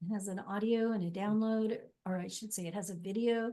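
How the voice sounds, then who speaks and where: A woman with a plain, everyday voice talks at a moderate pace, her pitch fairly high and its variation ordinary. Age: 60s. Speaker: life coach. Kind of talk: interview.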